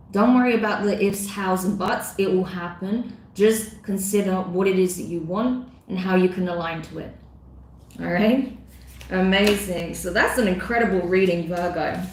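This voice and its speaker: Audible room echo and noticeable background noise surround a woman speaking at a moderate pace with fairly even intonation. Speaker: tarot reader. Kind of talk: live-streamed tarot reading. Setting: live stream.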